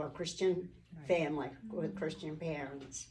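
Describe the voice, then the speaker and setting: A woman's voice carries audible room echo. Noticeable background noise can be heard too. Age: 80s+. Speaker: church speaker. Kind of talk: testimony. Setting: church Mother's Day brunch with audience. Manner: halting.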